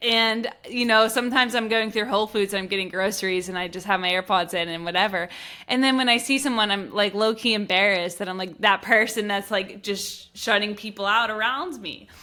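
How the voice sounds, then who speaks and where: A woman with an American accent speaks at a fairly quick pace. Her medium-pitched voice has a bright, sharp tone. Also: fairly even intonation. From Pittsburgh, US. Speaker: podcast host. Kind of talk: casual interview chat.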